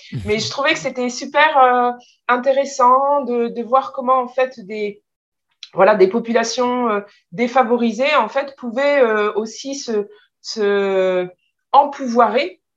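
A woman speaks at a very slow pace with a high pitch. The background is quiet. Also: ordinary pitch variation. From France. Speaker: translator and publisher. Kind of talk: interview.

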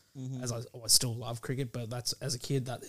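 A man speaks with an Australian accent. His pitch sits in the medium range. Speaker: guest footy fan. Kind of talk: casual chat. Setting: studio.

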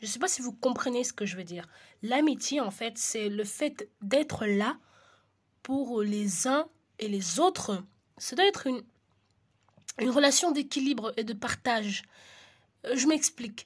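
A woman speaks at a fairly slow pace with long, frequent pauses. Her voice is high-pitched, with lively intonation. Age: 20s. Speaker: solo podcaster. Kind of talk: solo monologue podcast. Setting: at home in the evening. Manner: hesitant with frequent fillers; occasional stammering.

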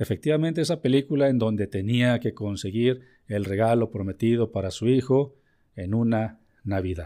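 In a Mexican accent, the voice carries a dark, mellow, warm tone at a fairly slow pace with ordinary pitch variation, on a very clean recording with a silent background. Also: man. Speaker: business podcast host and consultant. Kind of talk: educational monologue. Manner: warm, conversational.

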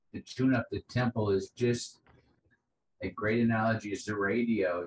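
Somewhat breathy and with an American accent, a man talks at a moderate pace and medium pitch, with ordinary pitch variation. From US South, New Orleans. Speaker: poet and sound musician. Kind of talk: casual interview chat. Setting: video call from home music room. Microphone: rough connection.

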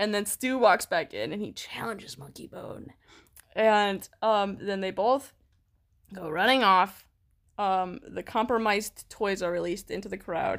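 A woman with a normal speaking voice talks at a fairly slow pace and a medium pitch. Her loudness swings a lot, while her pitch varies in an ordinary way. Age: 20s. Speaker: podcast co-host. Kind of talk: casual chat.

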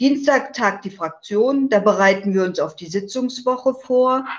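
Ordinary pitch variation runs through a woman's unremarkable speaking voice, delivered at a fairly slow pace. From northeastern Germany, island of Rügen. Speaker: politician. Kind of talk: interview.

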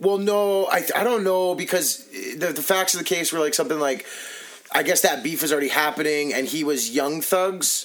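With noticeable background noise behind him, a high-voiced man talks at a moderate speed, his pitch varying in an ordinary way. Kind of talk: casual chat. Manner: profanity-heavy, laughing.

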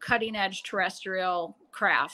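A woman speaks with an American accent at a fairly slow pace. Her tone is bright and sharp. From rural Western New York. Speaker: paranormal investigator. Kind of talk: interview.

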